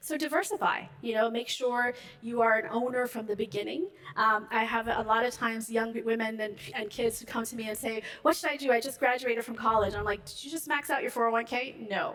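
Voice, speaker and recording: Noticeable background noise sits behind a woman speaking at a fairly quick pace. Her voice is fairly high, with ordinary pitch variation. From Ethiopia. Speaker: finance executive. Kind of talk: panel interview on stage. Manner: fast.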